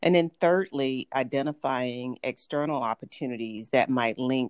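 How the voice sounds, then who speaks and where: A woman with a slight Southern US accent speaks at a moderate pace in a very deep, low voice, recorded dry and close with no echo on a very clean recording with a silent background. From Atlanta, US South. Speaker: health insurance executive. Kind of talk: interview, professional talk.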